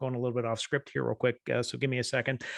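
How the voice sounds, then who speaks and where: A man's voice in a Southern US accent, dry and close with no echo. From US South. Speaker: solutions architect presenting at a tech webinar. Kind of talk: webinar presentation. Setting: online webinar. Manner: fast.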